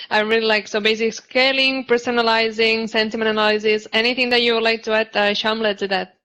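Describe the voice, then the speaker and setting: A woman's fairly high, bright, sharp voice with a non-native accent, very fast with hardly any pauses, monotone, flat intonation, and very even loudness. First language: not English. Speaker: panel moderator. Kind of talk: panel discussion. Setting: virtual summit video call.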